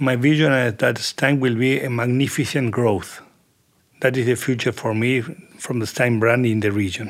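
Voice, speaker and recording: At a moderate pace, a man speaks with a medium pitch and fairly even intonation. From Argentina. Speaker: agribusiness general manager. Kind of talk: casual interview. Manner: halting.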